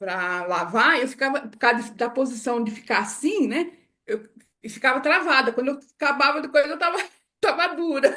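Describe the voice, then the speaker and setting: Against a quiet background, a woman speaks with lively intonation. Her tone is bright and sharp. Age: 70s. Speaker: testimonial guest. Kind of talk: testimony.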